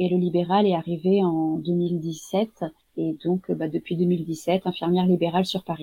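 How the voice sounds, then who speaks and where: Her tone is dark and mellow, and somewhat breathy. The woman talks at a fairly slow pace in a monotone, flat intonation. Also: fairly low pitch for a woman. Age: 30s. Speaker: home-care nurse. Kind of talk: interview. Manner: hesitant, many fillers.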